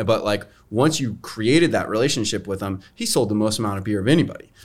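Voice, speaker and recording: A man with an unremarkable speaking voice talks at a fairly quick pace with a fairly low pitch. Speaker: brewery team member. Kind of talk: casual tasting chat. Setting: studio.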